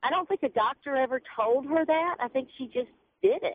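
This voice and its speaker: Talking at a fairly quick pace, a woman speaks in a Southern US accent. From Mississippi. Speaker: caller. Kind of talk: call-in radio comment. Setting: phone call.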